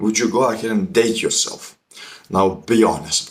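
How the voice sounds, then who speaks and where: This man's voice sits fairly low in pitch. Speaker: self-improvement youtuber. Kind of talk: motivational monologue. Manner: blunt, confrontational.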